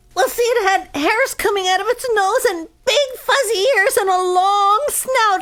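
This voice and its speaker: In a put-on character voice that sounds female, someone talks at a moderate pace with extremely high pitch and hardly any pauses. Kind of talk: comedic witness interview.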